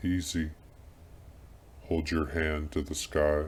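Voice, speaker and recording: A put-on character voice moves at a fairly slow pace, flat and monotone. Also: man, very deep, low pitch for a man. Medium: audio drama. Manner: commanding, impatient.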